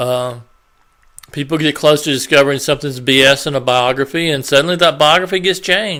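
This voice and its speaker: A man's mumbling at a fairly quick pace, bright and sharp in tone, with a fairly high pitch and ordinary pitch variation. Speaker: YouTuber. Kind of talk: casual vlog commentary. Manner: halting, hesitant.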